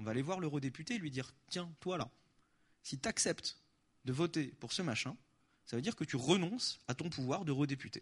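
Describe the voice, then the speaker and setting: Animated and somewhat breathy, a man speaks at a fairly quick pace and a fairly high pitch, with very wide pitch swings and long, frequent pauses. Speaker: activist spokesperson. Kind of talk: conference talk with Q&A. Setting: stage with audience.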